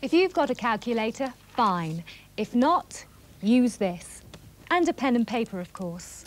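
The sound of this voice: The speech moves at a fairly slow pace with big pitch swings. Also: woman, fairly high pitch for a woman.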